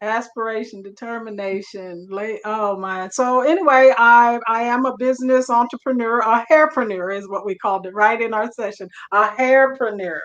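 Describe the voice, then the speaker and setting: Talking at a moderate pace with hardly any pauses, a woman with a fairly high pitch and an ordinary speaking voice shows ordinary pitch variation and big swings in loudness. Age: 60s. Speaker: hairstylist entrepreneur. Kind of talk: panel discussion.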